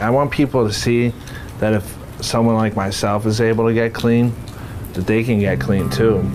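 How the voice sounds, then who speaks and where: A man with a Boston accent at a moderate pace, with music in the background. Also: medium pitch for a man, ordinary pitch variation, very even loudness. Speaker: recovering addict. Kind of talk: casual chat.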